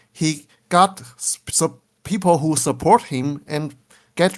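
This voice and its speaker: The speaker has a Chinese accent, heard in a very clean recording with a silent background. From Taiwan. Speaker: game scenario creator. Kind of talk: casual interview. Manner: halting, searching for English words.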